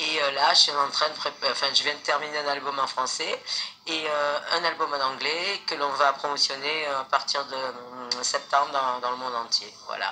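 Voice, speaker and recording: A woman with a very deep, low voice and monotone, flat intonation at a moderate pace, against noticeable background noise. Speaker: singer. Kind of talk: casual interview. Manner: halting.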